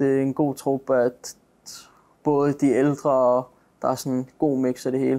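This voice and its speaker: In a dark, mellow tone, a man speaks at a medium pitch and fairly slow pace with monotone, flat intonation. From Denmark, Greve near Copenhagen. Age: 20s. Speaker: professional footballer. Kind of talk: interview. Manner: halting.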